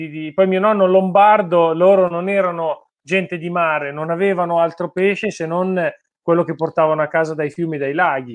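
A man speaks at a moderate pace in a high pitch. The background is quiet. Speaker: fishing channel host. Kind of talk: interview. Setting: video call. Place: home room. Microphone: video call.

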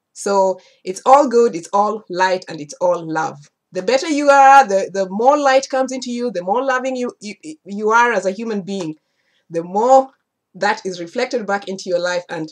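A woman's lively intonation with big swings in loudness over a quiet background. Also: moderate pace. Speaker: spiritual teacher. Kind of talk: casual vlog chat. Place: home room. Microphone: webcam.

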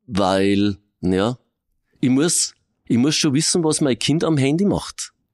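A man speaks very slowly with long, frequent pauses, very wide pitch swings and very even loudness over a quiet background. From Regensburg, Bavaria; Bavaria. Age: 50s. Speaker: police crime prevention officer. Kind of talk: interview. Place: studio.

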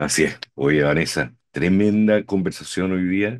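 This man's pitch is very deep and low. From Chile. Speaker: podcast host, co-host. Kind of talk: political talk show discussion. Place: home room.

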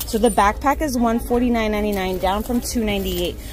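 A woman is speaking, with noticeable noise in the background. The sound is dry, with no echo. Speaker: shopping vlogger. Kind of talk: casual vlog chat. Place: shop. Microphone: phone near.

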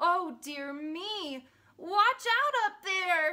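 A woman's put-on character voice, extremely high in pitch, bright and sharp in tone, with lively intonation and a very slow pace

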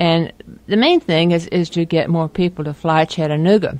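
Intonation stays fairly even in an unremarkable speaking voice. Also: woman. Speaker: interviewee. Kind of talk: interview answer.

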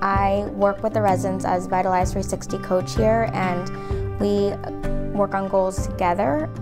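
Fairly slow delivery over clear music in the background. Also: woman. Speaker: fitness coach staff. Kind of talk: interview answer. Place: home room. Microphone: lapel.

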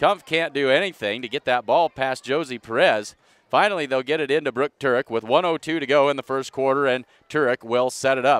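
Over a dry sound with no echo, a man talks at a fairly quick pace in an animated tone with ordinary pitch variation. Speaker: sports commentator. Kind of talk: live commentary. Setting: arena broadcast, live stream. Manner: animated, clipped. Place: hall.

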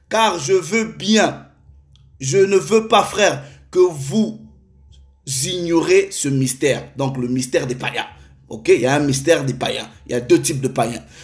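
Over a quiet background, a man with a fairly high pitch talks at a very slow pace, somewhat breathy, with lively intonation and long, frequent pauses. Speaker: preacher. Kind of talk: sermon. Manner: formal; earnest.

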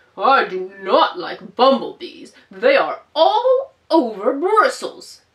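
In a put-on character voice, a woman speaks very slowly and with hardly any pauses. Her pitch is high and swings very widely. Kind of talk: children's storytime read-aloud. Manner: slow, cheerful, cheeky, repetitive.

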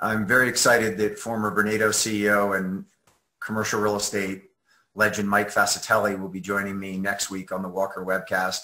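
Against a quiet background, a man speaks at a fairly quick pace with a fairly low pitch. His tone is bright and sharp, and his intonation is monotone and flat. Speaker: webcast host. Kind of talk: scripted show introduction. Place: home room. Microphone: webcam.

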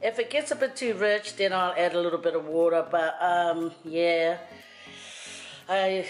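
A woman's fairly low voice at a fairly slow pace, with faint music in the background. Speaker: home cook vlogger. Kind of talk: casual cooking tutorial chat. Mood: playful, joking. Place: kitchen.

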